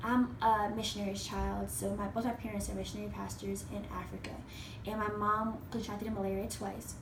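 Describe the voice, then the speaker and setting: A woman's voice carries audible room echo. Noticeable background noise sits underneath it. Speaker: college senior student. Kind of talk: personal reflection presentation. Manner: fast.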